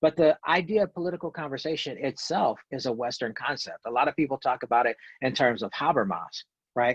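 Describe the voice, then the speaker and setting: Speaking at a fairly quick pace in a quiet background, a man has a fairly high pitch, ordinary pitch variation and a plain, everyday voice. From US South. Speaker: professor. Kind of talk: video call talk.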